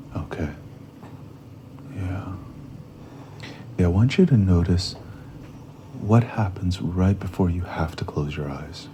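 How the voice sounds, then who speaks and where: Amid noticeable background noise, a soft-spoken man with a very deep, low pitch talks at a fairly slow pace with long, frequent pauses. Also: ordinary pitch variation. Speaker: psychedelic somatic therapist. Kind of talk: interview conversation. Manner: halting.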